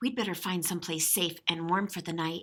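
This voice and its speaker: A woman puts on a character voice with a fairly low pitch. She talks at a fairly quick pace. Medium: read story. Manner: kind, gentle.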